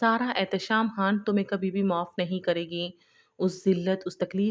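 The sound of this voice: The intonation stays fairly even in this unforced reading voice.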